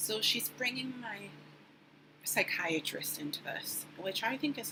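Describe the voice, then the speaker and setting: Quietly and at a fairly slow pace, a woman speaks with very wide pitch swings over noticeable background noise. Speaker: vlogger sharing mental health update. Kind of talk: personal vlog. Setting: recording at home at the computer. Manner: quiet, subdued; hesitant, many fillers.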